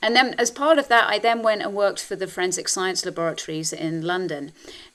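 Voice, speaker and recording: With a British accent, a woman talks at a very fast pace and medium pitch. Her pitch swings very widely. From England. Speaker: health and wellness coach. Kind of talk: interview conversation.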